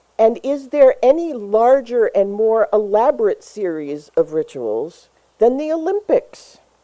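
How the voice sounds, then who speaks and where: Speaking with an American accent, a woman uses a dark, mellow tone and a fairly high pitch. Her pitch swings very widely as she talks at a fairly slow pace. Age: 60s. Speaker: pastor. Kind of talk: sermon.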